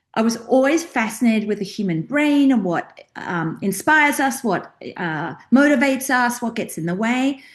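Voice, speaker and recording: A woman with an Australian accent, high-pitched with lively intonation, against a quiet background. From Australia, rural outback. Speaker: career and mindset coach. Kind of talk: interview. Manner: animated.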